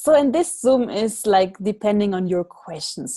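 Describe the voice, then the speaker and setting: At a very slow pace, a woman with a dark, mellow tone and a medium pitch speaks over a quiet background. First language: not French (speaking French). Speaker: spiritual workshop facilitator. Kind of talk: online workshop talk. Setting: video call.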